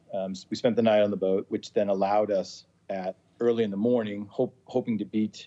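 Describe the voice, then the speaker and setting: Talking at a fairly quick pace, a man with an American accent has a fairly low pitch and a dark, mellow tone. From Massachusetts, US. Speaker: sailor, charter guest. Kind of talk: casual interview. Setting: video call.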